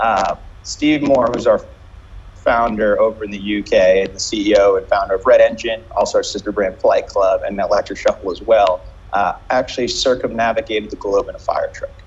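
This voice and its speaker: The pace stays moderate. It is a man, and he has an American accent. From US, New York. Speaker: restaurant and bar company CEO. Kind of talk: interview.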